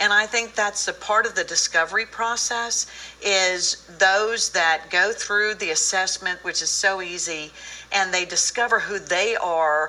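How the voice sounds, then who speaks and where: A woman speaks at a fairly slow pace and a medium pitch, with ordinary pitch variation. Hers is an unremarkable speaking voice. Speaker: co-author of a personality book. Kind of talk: TV interview.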